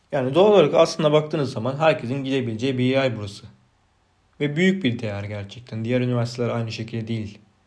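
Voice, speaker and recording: A man's medium-pitched voice with ordinary pitch variation, a very fast pace and audible room echo. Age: 30s. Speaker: podcaster. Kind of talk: unscripted solo monologue. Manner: unpolished, self-repeating, swallowing words.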